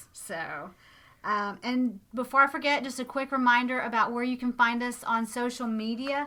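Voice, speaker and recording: A woman's high, bright, sharp voice at a moderate pace with ordinary pitch variation. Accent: Southern US. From US South, Alabama-Florida border. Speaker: podcast host. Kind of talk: casual chat.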